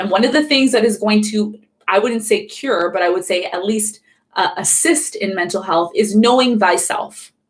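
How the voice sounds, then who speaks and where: An animated voice in a Canadian accent carries ordinary pitch variation. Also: woman, fairly high pitch for a woman. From Canada. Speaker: astrologer. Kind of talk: live stream astrology talk. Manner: fast.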